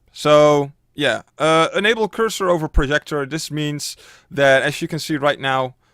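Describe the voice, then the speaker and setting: On a very clean recording with a silent background, a man with a Dutch accent speaks at a moderate pace with ordinary pitch variation, his sound dry and close with no echo. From Netherlands. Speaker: streamer and YouTuber. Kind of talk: tutorial. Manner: casual, filler-heavy.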